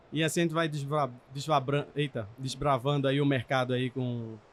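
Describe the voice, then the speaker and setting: This is a man with a normal speaking voice at medium pitch. His intonation stays fairly even. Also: very even loudness. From Brazil, Pernambuco (Recife). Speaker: technology director at car dealership group. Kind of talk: podcast interview. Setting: trade event.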